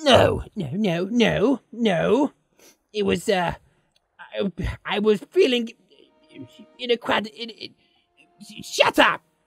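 A put-on character voice pitched fairly high, talking at a very slow pace. Long pauses come often, with faint music behind it. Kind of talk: let's play game commentary in character. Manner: sarcastic, insulting.

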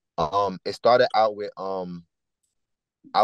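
A man talks with a New York accent. The background is quiet and the sound is dry with no echo. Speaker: choreographer and musician; guest. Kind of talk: casual interview. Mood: relaxed, animated storytelling. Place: car. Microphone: video call.

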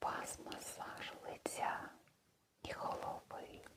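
The voice whispers. Its tone is soothing and gentle. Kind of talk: ASMR role-play, massage spa session. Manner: soft, soothing, gentle.

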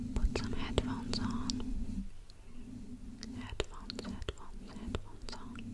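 Long, frequent pauses mark a woman's fairly slow speech. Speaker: ASMR creator. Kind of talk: ASMR whisper intro. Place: home room. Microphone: studio mic.

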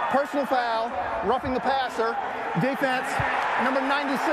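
A man speaks at a moderate pace amid loud background noise, the sound dry with no echo. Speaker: referee. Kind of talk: formal penalty announcement. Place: stadium. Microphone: headset.

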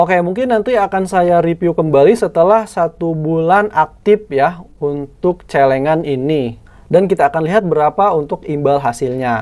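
Speaking at a moderate pace with hardly any pauses, a man uses a high pitch. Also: ordinary pitch variation. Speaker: YouTuber reviewing finance apps. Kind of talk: app tutorial screen walkthrough. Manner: casual, conversational.

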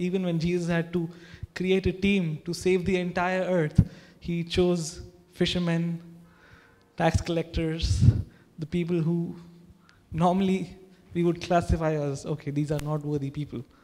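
A man with a high pitch talks at a moderate pace in a monotone, flat intonation, leaving long, frequent pauses. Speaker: pastor. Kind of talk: sermon. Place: church. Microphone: handheld.

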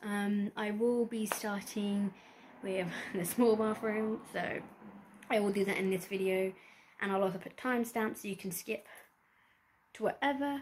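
A woman with a British accent, fairly even intonation, a moderate pace and long, frequent pauses, over light background noise. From UK. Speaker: lifestyle vlogger. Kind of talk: casual talk to camera. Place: home room. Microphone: phone near.

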